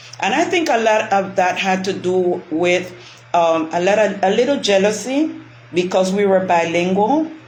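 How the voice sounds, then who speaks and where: Lively intonation and very even loudness mark this woman's medium-pitched voice, heard with audible room echo. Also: moderate pace. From Panama, West Indian-descended family. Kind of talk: casual chat.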